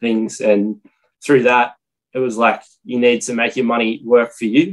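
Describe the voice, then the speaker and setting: Speaking at medium pitch with an Australian accent, a man keeps fairly even intonation and a moderate pace. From Australia, Armidale NSW and Maryborough Queensland. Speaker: property investor. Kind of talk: casual interview.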